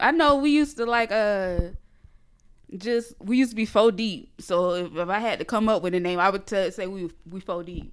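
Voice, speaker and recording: A woman speaks in a Geechee accent at a moderate pace. Her voice is fairly high, with ordinary pitch variation. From northeast Florida, near Jacksonville. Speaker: blogger and website founder. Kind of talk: casual interview. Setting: studio.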